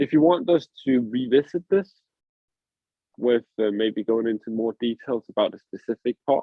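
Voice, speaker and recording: The speaker has a non-native accent and ordinary pitch variation. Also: man. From Denmark. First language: Danish. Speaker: podcast host. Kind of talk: casual chat.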